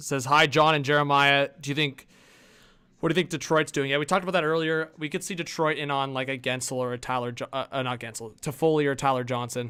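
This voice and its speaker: A man talks at a very fast pace. His voice is fairly high in pitch, with a bright, sharp tone. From US Northwest, Montana. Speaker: hockey streamer. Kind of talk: live stream commentary. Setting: live stream with video call co-host. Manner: loud when excited.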